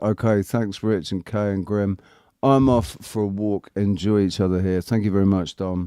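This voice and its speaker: A man with a British accent and a fairly low pitch has a dark, mellow tone and ordinary pitch variation, recorded very clean with a silent background and a dry, close sound with no echo. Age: 40s. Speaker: livestream host. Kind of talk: casual chat. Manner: halting.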